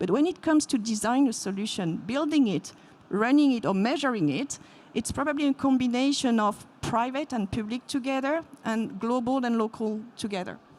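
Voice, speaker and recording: Speaking with a French accent, a woman uses lively intonation in a high pitch. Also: moderate pace. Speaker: payments company executive, panelist. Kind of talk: panel discussion.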